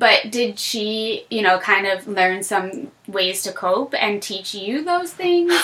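This woman talks at a very slow pace with a fairly high pitch and very wide pitch swings, over noticeable background noise. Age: 20s. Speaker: podcast host. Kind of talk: casual interview chat. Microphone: 10-year-old laptop mic, no microphone.

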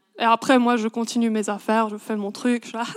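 A woman's fairly high voice in monotone, flat intonation at a fairly quick pace, with a dry, close sound and no echo. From grew up abroad in a missionary family, Swiss by origin. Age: 20s. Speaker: coffee shop worker. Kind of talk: church interview testimony.

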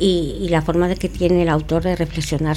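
Moderate pace against noticeable background noise. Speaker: literary association member. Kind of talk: radio interview.

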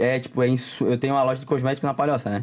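A man speaks with a Florianópolis accent. His pitch is fairly high. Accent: Florianópolis local (manezinho). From Florianópolis area, Santa Catarina, Brazil. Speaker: content creator. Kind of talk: casual chat.

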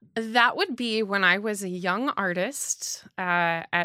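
In a very clean recording with a silent background and a dry, close sound with no echo, a woman with an American accent speaks at a medium pitch in a bright, sharp, cheerful tone with ordinary pitch variation. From US Northeast (New Jersey). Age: 30s. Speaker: opera singer. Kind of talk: interview. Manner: cheerful, laughs often.

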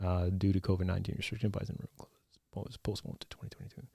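In a very clean recording with a silent background, a man with a fairly low pitch speaks at a very fast pace in a monotone, flat intonation, the sound dry and close with no echo. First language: Italian. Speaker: runner. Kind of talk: casual chat. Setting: studio.

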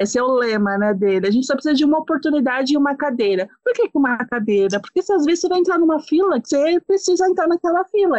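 In a dry, close recording with no echo, a woman talks at a very fast pace and high pitch, her loudness very even and her pitch swinging very widely. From São Paulo, Brazil. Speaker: public relations professional and podcaster. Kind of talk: casual chat.

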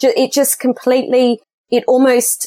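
A woman with an Australian accent is heard in a dry, close recording with no echo. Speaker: podcast host. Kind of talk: interview.

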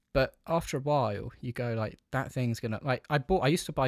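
A man with a London accent speaks at a medium pitch with ordinary pitch variation, in a dry, close recording with no echo that is very clean against a silent background. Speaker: podcast host. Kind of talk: casual chat.

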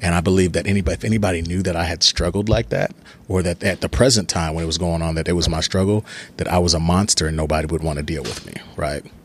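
Talking at a very fast pace over noticeable background noise, a man with an American accent has a very deep, low voice with ordinary pitch variation. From Texas. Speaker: youth pastor. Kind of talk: interview. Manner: animated.

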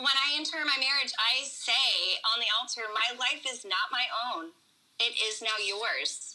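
Over noticeable background noise, a woman with a Californian accent speaks at a fairly slow pace in a high pitch. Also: lively intonation. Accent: Californian American English. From San Diego, California. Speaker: founder of a marriage ministry project. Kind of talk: casual interview chat.

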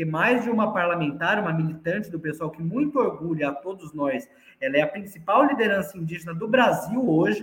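The man's pitch swings very widely as he talks at a fairly quick pace. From Brazil, São Paulo city. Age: 20s. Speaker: politician. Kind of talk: interview.

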